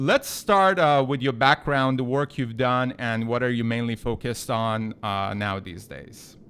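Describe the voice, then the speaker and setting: Speaking with a non-native accent, a man keeps a fairly slow pace. His pitch is medium, with ordinary variation. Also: hardly any pauses, very clean recording, silent background. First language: not English. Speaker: podcast host. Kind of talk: interview.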